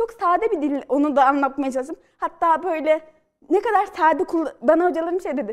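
A woman with an extremely high pitch speaks at a fairly quick pace with lively intonation against a quiet background. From Central Anatolia, Turkey (Polatlı, Ankara); Central Anatolia, Turkey. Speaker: novelist and screenwriter; guest. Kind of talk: studio interview. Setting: TV studio. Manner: hesitant with fillers. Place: studio. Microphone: lapel.

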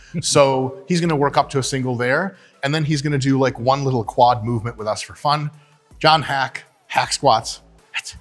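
Faint music plays in the background as a man talks at a moderate pace with ordinary pitch variation. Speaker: gym host, coach. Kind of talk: casual vlog chat. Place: gym.

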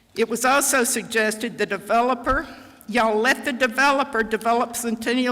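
Fairly high in pitch, a woman speaks at a fairly quick pace. Noticeable background noise runs underneath. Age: 80s+. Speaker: retired county planner speaking at public comment. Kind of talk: public comment at council meeting. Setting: town council meeting chamber.

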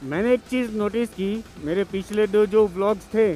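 A man's high-pitched voice with ordinary pitch variation, dry with no echo, and faint music in the background. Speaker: solo motorcycle vlogger. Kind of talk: casual vlog chat. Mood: cheerful, relaxed. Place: motorbike. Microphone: helmet.

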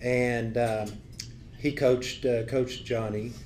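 Over light background noise, a man with a Southern US accent speaks at a very slow pace. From Tennessee. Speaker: former football coach. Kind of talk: speaker introduction. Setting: club meeting. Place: meeting room. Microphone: podium.

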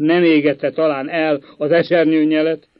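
A man puts on a shaky character voice, pitched fairly high. His intonation is monotone and flat. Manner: trembling with agitation.

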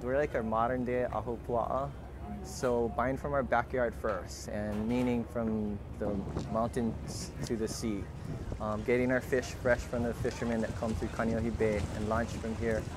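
A man speaks at a fairly slow pace with ordinary pitch variation. The sound is dry with no echo, over noticeable background noise. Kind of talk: interview answer. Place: street.

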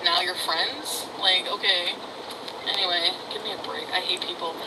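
A woman talks at a moderate pace with lively intonation. Background noise is noticeable. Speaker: livestreamer. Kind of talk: casual vlog chat, ranting. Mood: angry, ranting. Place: car. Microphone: phone near.

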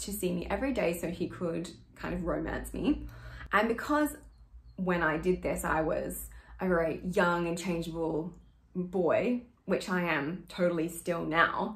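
With vocal fry, a woman talks fairly slowly in a fairly low voice, using ordinary pitch variation. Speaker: acting coach. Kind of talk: tutorial explaining a monologue. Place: home room. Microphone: phone near.

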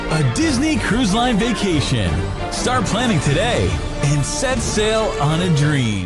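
Over loud music in the background, a man with an American accent speaks at a very slow pace, the sound dry with no echo. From United States. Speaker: voice actor. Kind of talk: TV commercial read. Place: booth.

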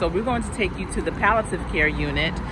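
A woman speaks in a dry recording with no echo, and there is noticeable background noise. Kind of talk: personal storytelling vlog narration. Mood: emotional, reflective, grieving. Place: garden. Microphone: phone near.

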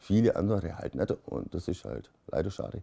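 A man's very deep, low voice, dark and mellow in tone, over a quiet background. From Germany, Swabia (Beuren); Germany. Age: 30s. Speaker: cannabis patient. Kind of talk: interview testimony. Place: home room.

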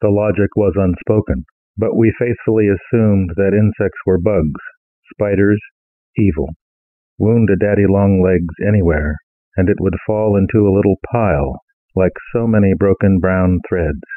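A man speaks in an ordinary speaking voice, fairly low in pitch. His loudness stays very even and his intonation fairly even. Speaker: poet reading own work. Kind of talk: poetry reading, read aloud from his own poem. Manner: measured, reflective, deliberate reading with a wry, ruminative tone.

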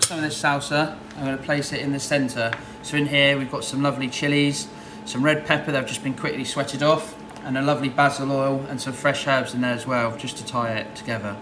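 With noticeable background noise behind him, a man talks very fast in a fairly even intonation. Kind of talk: tutorial. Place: kitchen. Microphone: camera far.

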